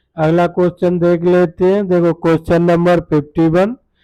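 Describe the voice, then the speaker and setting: In a monotone, flat intonation, a man speaks at a high pitch with a dark, mellow tone. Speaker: quiz tutor. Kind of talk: tutorial. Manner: repetitive filler 'dekho'.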